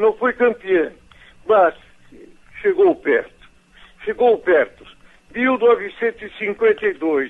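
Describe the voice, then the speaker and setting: The man talks at a very slow pace. Long pauses come often. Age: 70s. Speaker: radio broadcaster. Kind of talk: emotional personal testimony.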